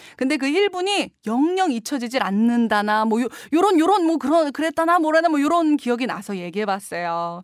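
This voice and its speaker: A woman's high-pitched, animated voice at a moderate pace, with very wide pitch swings, hardly any pauses, a quiet background and a dry sound with no echo. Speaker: radio DJ. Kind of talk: radio show hosting. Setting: radio studio. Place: studio.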